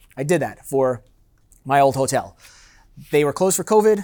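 In a very clean recording with a silent background, a man with a fairly high pitch and a Californian accent talks at a fairly quick pace. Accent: Californian American. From San Diego, California. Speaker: master sommelier. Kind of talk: seminar talk. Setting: live seminar with audience.

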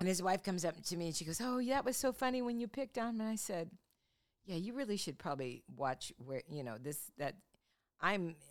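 A woman with an American accent at a fairly quick pace, her pitch swinging very widely. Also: medium pitch for a woman. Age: 70s. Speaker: podcast host. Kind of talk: casual chat.

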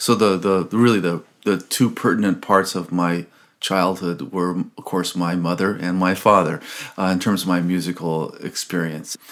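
The speaker talks at a moderate pace with an American accent. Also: man, very deep, low pitch for a man. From US West Coast, Los Angeles. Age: 60s. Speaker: violinist and composer. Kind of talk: interview conversation. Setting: at home. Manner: animated.

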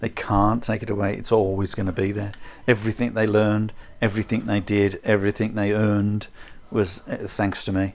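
The delivery is fairly quick and monotone, with flat intonation. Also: man, fairly low pitch for a man. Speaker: kung fu teacher. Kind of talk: casual chat. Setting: video call.

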